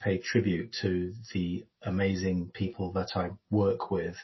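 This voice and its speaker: This man's fairly low pitch comes somewhat breathy as he speaks at a fairly slow pace. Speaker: council chief executive. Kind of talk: casual interview.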